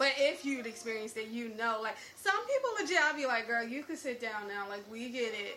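With an American accent, the speaker goes at a fairly quick pace with hardly any pauses and ordinary pitch variation, over noticeable background noise and audible room echo. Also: woman, fairly high pitch for a woman. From Newark, New Jersey. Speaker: podcast guest. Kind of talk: casual chat.

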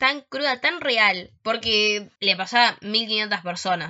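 Very slowly, a woman speaks at a fairly high pitch with lively intonation. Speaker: podcast host. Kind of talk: casual chat.

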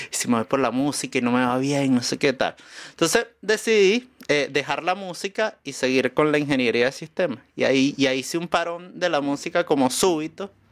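A man with an unremarkable speaking voice talks at a fairly quick pace with hardly any pauses, his fairly high pitch carried by lively intonation on a very clean recording with a silent background. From Venezuela, Caracas. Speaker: musician and comedian. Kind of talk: casual chat.

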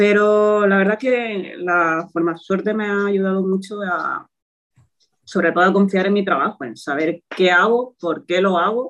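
This woman has a plain, everyday voice, with medium pitch and fairly even intonation at a fairly slow pace. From Spain, Toledo. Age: 20s. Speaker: physiotherapist. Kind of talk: interview.

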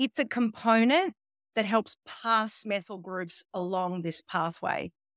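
With an Australian accent, a woman of medium pitch talks at a fairly slow pace in a very clean, dry, close recording with no echo and a silent background. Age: 40s. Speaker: molecular geneticist and nutritionist. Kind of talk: interview.

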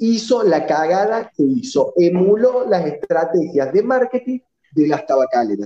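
Keeping his loudness very even, a man speaks at a fairly slow pace with very wide pitch swings. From Argentina, Córdoba. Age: 30s. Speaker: president of a vaping advocacy association. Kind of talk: casual online panel discussion.

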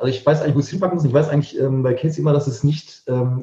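Somewhat breathy and dark, mellow in tone, a man's fairly high voice moves with ordinary pitch variation. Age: 50s. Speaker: musician. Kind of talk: casual chat.

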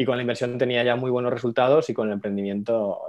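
Monotone and flat in intonation, a man speaks at a fairly quick pace with a medium pitch. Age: 30s. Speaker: finance educator and entrepreneur. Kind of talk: casual interview.

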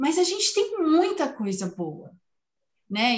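A woman with very wide pitch swings. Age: 50s. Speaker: podcast host and family constellation therapist. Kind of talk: casual chat.

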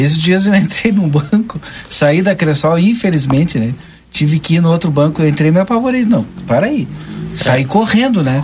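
A man's high-pitched voice with lively intonation and very even loudness, at a moderate pace amid noticeable background noise. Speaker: radio host. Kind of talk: radio news and talk show. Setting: radio studio.

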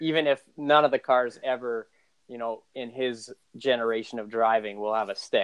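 A man speaks in a normal speaking voice at medium pitch and a moderate pace, with fairly even intonation and big swings in loudness. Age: 40s. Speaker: podcast host. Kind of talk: casual chat.

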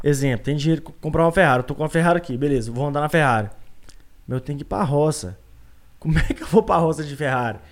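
A man talks at a very fast pace with a mineiro accent. His pitch is fairly high, with ordinary pitch variation. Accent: mineiro countryside accent, kept. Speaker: podcast guest. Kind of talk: casual chat. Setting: live-streamed video podcast studio.

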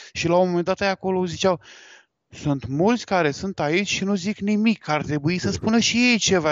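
With lively intonation, a man talks in a high voice at a fairly slow pace. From Galați, eastern Romania (Moldova region). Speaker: wedding photographer. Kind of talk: casual interview on live podcast.

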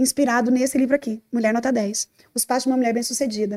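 A woman with a high pitch and a dark, mellow tone is heard in a dry, close recording with no echo. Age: 30s. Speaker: pastor and psychologist. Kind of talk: interview.

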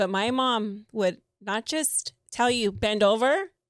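A woman's normal speaking voice, fairly high-pitched with ordinary pitch variation, at a fairly slow pace on a very clean recording with a silent background. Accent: American. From US, Mexican American community. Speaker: podcast co-host. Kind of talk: casual chat.

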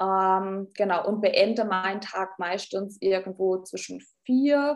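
Over a quiet background, a woman with a Baden accent speaks very slowly with ordinary pitch variation. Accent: Baden dialect (Ortenau). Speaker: nursing leadership trainer and speaker. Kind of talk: podcast interview.

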